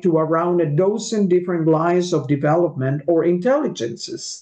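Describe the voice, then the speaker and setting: Fairly slow speech from a woman with a medium-pitched voice. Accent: Spanish. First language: Spanish. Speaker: interviewer. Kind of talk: interview. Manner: halting.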